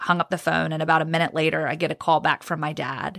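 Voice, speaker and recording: A woman with an American accent speaks fairly quickly in a bright, sharp tone with vocal fry and ordinary pitch variation. The recording is very clean, with a silent background. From Virginia, US (Roanoke). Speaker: sports reporter. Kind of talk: testimony.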